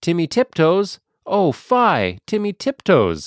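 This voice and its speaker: A put-on character voice moves at a fairly slow pace. The recording is very clean, with a silent background. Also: man, high pitch for a man. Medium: read story.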